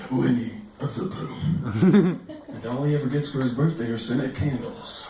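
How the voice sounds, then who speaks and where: There is noticeable background noise behind this man. He talks at a fairly quick pace with ordinary pitch variation. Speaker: stand-up comedian. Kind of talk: stand-up comedy routine.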